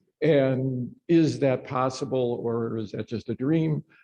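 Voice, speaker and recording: At a very slow pace, a man speaks in a medium-pitched, dark and mellow tone with ordinary pitch variation. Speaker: audience member. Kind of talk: audience question. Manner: halting, many fillers.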